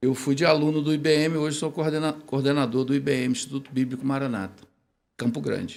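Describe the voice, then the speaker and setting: A plain, everyday voice from a man, fairly high in pitch, with fairly even intonation at a fairly quick pace. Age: 60s. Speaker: theology professor, bible institute coordinator. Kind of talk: podcast interview.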